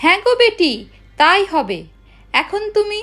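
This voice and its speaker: In a put-on character voice, a woman speaks with lively intonation at an extremely high pitch. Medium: read story. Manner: gentle, affectionate.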